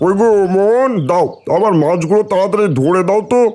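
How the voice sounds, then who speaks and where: A man uses a cartoonish character voice with a high pitch. His pace is moderate. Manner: blunt, demanding.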